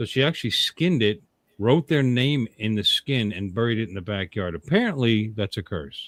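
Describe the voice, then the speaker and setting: Dry and close with no echo, a man with an ordinary speaking voice talks at a fairly quick pace with ordinary pitch variation. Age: 60s. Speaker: podcast co-host. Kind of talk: casual chat.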